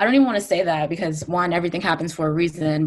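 A woman's voice with vocal fry and an American accent. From New Jersey / Brooklyn, New York. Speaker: musician and former radio journalist. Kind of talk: casual interview.

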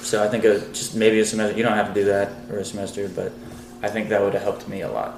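At a very fast pace, a man with a fairly low pitch speaks in a monotone, flat intonation over noticeable background noise. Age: 20s. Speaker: podcast co-host. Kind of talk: casual chat.

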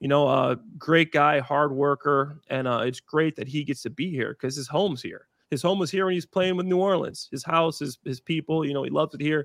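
With an American accent, the speaker has an unremarkable speaking voice, ordinary pitch variation and a fairly quick pace. The sound is dry and close with no echo, against a quiet background. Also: man. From northern Illinois. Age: 30s. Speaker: former NFL player. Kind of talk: casual chat.

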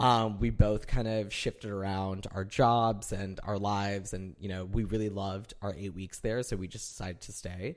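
In an American accent, a man with a normal speaking voice talks at a moderate pace and fairly low pitch, his intonation fairly even but his loudness swinging widely, on a very clean recording with a silent background. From Northern Illinois, US. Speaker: guest, friend of host, lives in New York. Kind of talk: casual chat between friends. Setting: recording in host's apartment.

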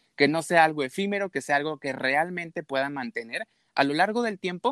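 With a Mexican accent and lively intonation, a man talks at a fairly quick pace, and the sound is dry and close with no echo. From Mexico. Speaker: habits coach. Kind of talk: casual interview.

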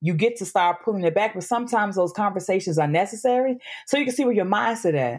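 A woman with a medium pitch speaks at a very fast pace, her intonation lively and her tone animated. The recording is very clean, with a silent background. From US South, Memphis. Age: 30s. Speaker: podcast guest. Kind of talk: casual chat.

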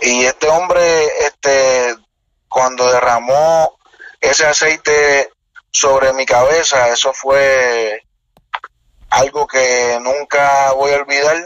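A man with a fairly high pitch talks at a very slow pace, with long, frequent pauses, fairly even intonation and very even loudness. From Puerto Rico, north coast. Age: 20s. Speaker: evangelist preacher. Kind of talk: interview conversation.

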